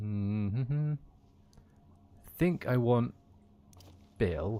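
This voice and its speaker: Lively intonation marks this man's speech at medium pitch. His tone is dark and mellow. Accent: West Midlands. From West Midlands, England (Kidderminster). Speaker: gaming streamer. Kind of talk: casual gameplay livestream chat. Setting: livestream.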